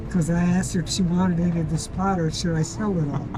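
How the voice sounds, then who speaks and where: A man's high-pitched voice at a very fast pace, with audible room echo and noticeable background noise. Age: 70s. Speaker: Vietnam war veteran. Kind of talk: street interview. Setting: outdoors.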